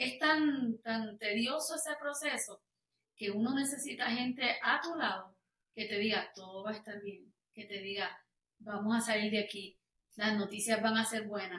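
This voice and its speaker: In a plain, everyday voice, a woman speaks at a fairly slow pace with a fairly high pitch and lively intonation. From Puerto Rico. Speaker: worship singer. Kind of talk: testimony interview.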